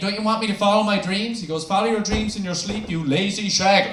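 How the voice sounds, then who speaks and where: Amid noticeable background noise and audible room echo, a man with a high pitch speaks at a very fast pace. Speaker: stand-up comedian. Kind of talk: stand-up. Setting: stage with audience.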